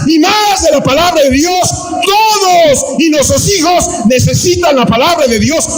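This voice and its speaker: An animated tone amid audible room echo and noticeable background noise. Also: man. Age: 60s. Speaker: pastor. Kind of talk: sermon. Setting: church, live.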